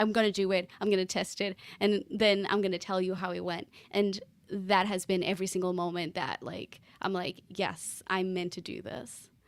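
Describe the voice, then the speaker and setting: A woman at medium pitch with a slight Portuguese accent, fairly even intonation and a moderate pace. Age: 30s. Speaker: podcast consultant. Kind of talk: casual interview chat.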